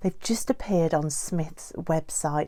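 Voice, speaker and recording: A woman speaks with a dark, mellow tone. Her pitch sits fairly low. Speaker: doll collector YouTuber. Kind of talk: casual vlog talk.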